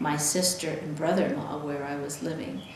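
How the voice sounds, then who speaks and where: A woman talks with an American accent and ordinary pitch variation. Noticeable background noise and audible room echo fill the recording. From California (Salinas Valley). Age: 70s. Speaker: military spouse. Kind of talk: interview storytelling.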